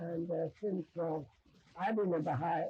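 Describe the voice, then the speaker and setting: Somewhat breathy female speech at a moderate pace. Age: 70s. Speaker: international religious teacher. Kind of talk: interview. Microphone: distorted old video audio.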